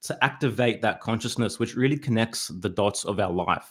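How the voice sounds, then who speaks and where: A man with an Australian accent, fairly slow pace and ordinary pitch variation, on a very clean recording with a silent background. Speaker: hip-hop artist and podcaster. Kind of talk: casual interview chat.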